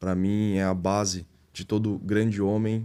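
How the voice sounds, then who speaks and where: A man's fairly low, dark and mellow voice, monotone and flat, on a very clean recording with a silent background. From Brazil, interior of Goiás (Catalão). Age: 20s. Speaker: entrepreneur and pastor. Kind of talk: podcast interview.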